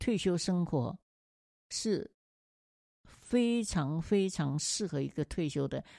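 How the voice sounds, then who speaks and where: A woman speaks at a very slow pace with lively intonation and long, frequent pauses, her fairly low voice dark and mellow in a very clean recording with a silent background. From Taiwan. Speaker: retired teacher living abroad. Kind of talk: interview.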